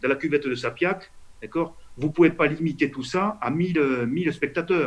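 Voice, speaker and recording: Here a man is speaking. He goes at a very slow pace. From Toulouse. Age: 50s. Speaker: politician, member of parliament. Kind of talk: interview answer.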